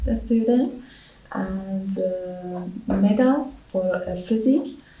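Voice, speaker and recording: Very slow speech with ordinary pitch variation, audible room echo and noticeable background noise. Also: woman. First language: not English. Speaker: English language exam candidate. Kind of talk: spoken language exam. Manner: halting, many hesitations.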